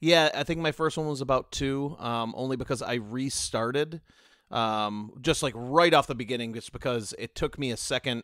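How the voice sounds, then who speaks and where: In a very clean recording with a silent background and a dry, close sound with no echo, a man with a normal speaking voice and an American accent speaks at medium pitch and a moderate pace, with ordinary pitch variation. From United States. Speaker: podcast panelist. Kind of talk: casual chat.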